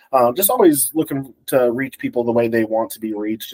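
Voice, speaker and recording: With an American accent and a plain, everyday voice, a man speaks at a medium pitch and a fairly quick pace, recorded dry and close with no echo. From Colorado. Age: 30s. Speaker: wildlife agency public information officer. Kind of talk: casual chat.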